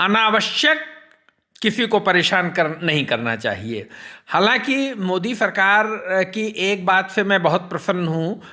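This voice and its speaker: Lively intonation comes through in a raised, projected voice. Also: man, high pitch for a man. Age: 60s. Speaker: social commentator. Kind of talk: personal monologue on politics and devotion. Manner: formal.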